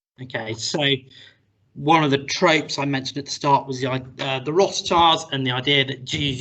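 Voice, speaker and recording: A man's voice sits at a medium pitch, moving at a moderate pace with fairly even intonation. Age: 40s. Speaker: university lecturer. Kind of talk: recorded interview.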